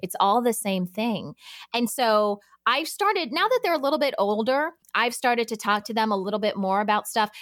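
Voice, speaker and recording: In a normal speaking voice, a woman talks at a fairly quick pace, her fairly high pitch carried by lively intonation. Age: 40s. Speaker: podcast producer and working mom. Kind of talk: casual interview chat. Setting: remote podcast recording.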